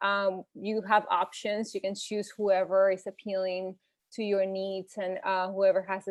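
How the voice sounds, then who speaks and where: Words come at a moderate speed. They carry a Spanish accent. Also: woman. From Venezuela. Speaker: health and nutrition coach. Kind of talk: informal presentation.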